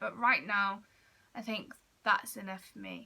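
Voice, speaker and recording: A woman with a British accent speaks at a fairly slow pace in a bright, sharp tone. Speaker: vlogger on mental health. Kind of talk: personal vlog talk to camera. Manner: loud.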